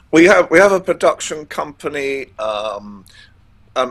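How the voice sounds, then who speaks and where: A man's voice with noticeable background noise. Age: 70s. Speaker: royal broadcaster and journalist. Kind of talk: interview. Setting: studio. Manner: halting, many fillers and repetitions.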